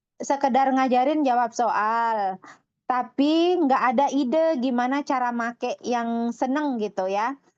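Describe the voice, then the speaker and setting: A woman speaks at a fairly slow pace with a high pitch and ordinary pitch variation. The background is quiet. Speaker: English course program founder and webinar presenter. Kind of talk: webinar presentation. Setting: online webinar. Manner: sometimes forceful, revved-up delivery.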